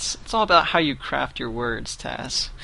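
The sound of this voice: A man speaks at a moderate pace and medium pitch. His tone is bright and sharp, with vocal fry. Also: lively intonation.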